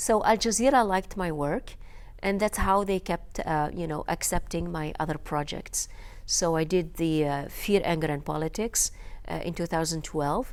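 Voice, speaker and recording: A North African accent at a moderate pace with ordinary pitch variation, in a very clean recording against a silent background. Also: woman, fairly low pitch for a woman. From Algeria. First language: Berber. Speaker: filmmaker and journalist. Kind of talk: interview. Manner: halting, many fillers.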